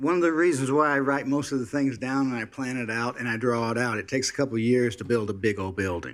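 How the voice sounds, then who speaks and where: Hardly any pauses break this man's speech. His pitch is medium, with ordinary variation. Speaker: public commenter at city meeting. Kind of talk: public comment. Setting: city commission meeting. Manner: slow.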